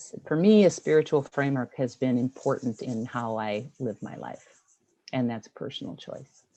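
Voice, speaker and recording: A woman's very deep, low voice with a dark, mellow tone, lively intonation, big swings in loudness and a moderate pace. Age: 60s. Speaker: retired hospital system executive. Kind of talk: Q&A session.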